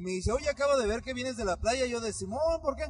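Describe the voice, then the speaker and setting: The man's delivery is animated, with lively intonation. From Mexico, Michoacán. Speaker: podcast co-host. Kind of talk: casual chat.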